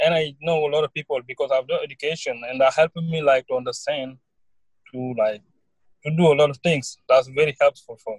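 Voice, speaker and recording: This man's voice is fairly high-pitched and somewhat breathy, with fairly even intonation. The sound is dry and close, with no echo. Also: fairly quick pace, big swings in loudness. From Senegal. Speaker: college student. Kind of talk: interview. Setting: online call.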